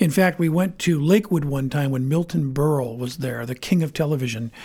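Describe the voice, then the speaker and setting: With an American accent, a man speaks at a fairly quick pace in a fairly high pitch, his tone dark and mellow, somewhat breathy, with ordinary pitch variation. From Maine, US (Bangor). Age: 60s. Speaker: sportscaster and TV host. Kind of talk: casual interview chat. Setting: studio.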